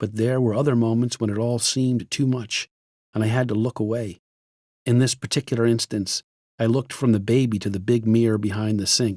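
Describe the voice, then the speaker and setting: A man talks at a fairly quick pace with a dark, mellow tone and monotone, flat intonation. The sound is dry and close, with no echo. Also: medium pitch for a man, very clean recording, silent background. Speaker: audiobook narrator. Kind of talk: audiobook memoir reading. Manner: grave, heavy tone.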